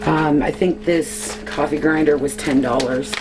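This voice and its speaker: Over music in the background, a woman with a very deep, low pitch speaks with ordinary pitch variation and audible room echo. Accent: Canadian. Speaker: homesteader. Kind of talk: tutorial. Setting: at home, early morning. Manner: casual, chatty.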